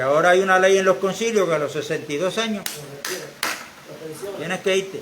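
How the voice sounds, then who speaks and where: Over noticeable background noise and audible room echo, a high-pitched man talks at a fairly quick pace with ordinary pitch variation and long, frequent pauses. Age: 70s. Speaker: church member. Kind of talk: church exhortation.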